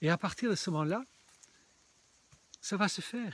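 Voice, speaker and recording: A man speaks at a moderate pace in a high voice. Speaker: spiritual video blogger. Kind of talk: casual vlog monologue. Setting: outdoors in a small forest. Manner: halting.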